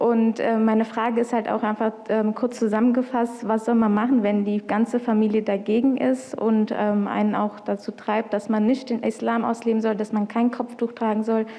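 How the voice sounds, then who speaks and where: A woman's fairly high voice at a moderate pace with hardly any pauses, fairly even intonation and very even loudness, over noticeable background noise. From Punjab, India. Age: 20s. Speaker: convert asking a question. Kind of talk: question at video meeting. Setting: video call.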